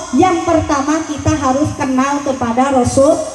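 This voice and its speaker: A woman speaks with a Jakarta accent over noticeable background noise. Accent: Betawi-tinged Indonesian. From West Java, Indonesia. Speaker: female Islamic preacher. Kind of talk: humorous religious sermon to a women's congregation. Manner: lively, joking, call-and-response with audience.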